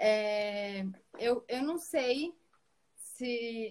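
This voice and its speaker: Her voice sits at a fairly high pitch, and this woman's pitch varies in an ordinary way. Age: 20s. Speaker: pedagogue. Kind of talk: online live debate.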